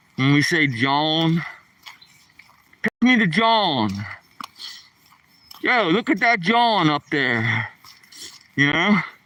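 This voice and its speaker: A man with a Philadelphia accent speaks at a high pitch, his voice making very wide pitch swings. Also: dry, close sound with no echo. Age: 60s. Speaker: live streamer. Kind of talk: casual vlog talk. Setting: outdoors on a walk. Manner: casual.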